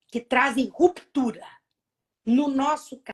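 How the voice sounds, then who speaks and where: A woman speaks at a very slow pace. Her voice has a high pitch. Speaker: prosecutor. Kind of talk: lecture-style talk in a live online conversation. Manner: well-paced.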